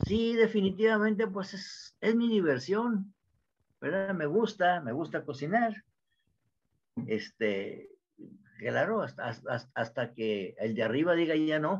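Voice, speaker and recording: A man with a northern Mexican accent speaks at a high pitch and a very slow pace, his pitch swinging very widely and his words broken by long, frequent pauses. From Mexico, Monterrey. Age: 80s+. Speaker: home cook YouTuber. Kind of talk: interview answer. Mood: cheerful, chatty. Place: home room. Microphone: video call.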